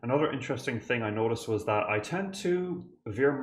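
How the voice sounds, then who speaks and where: A man with an Irish accent. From Ireland. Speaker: composer and music reactor. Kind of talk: reaction video commentary. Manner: animated.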